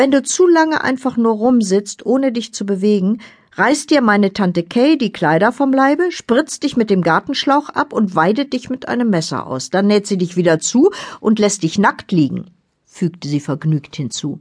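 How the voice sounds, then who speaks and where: At a moderate pace, a woman speaks with a fairly high pitch, very wide pitch swings and a somewhat breathy quality. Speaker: audiobook narrator. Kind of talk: dramatic audiobook narration, first person. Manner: suspenseful, vivid, measured pace; brooding, eerie, tense.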